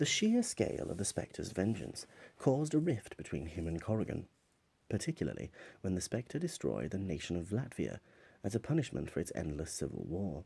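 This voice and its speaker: A man's somewhat breathy, dark, mellow voice at a fairly low pitch, with very wide pitch swings. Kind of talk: ASMR comic synopsis narration.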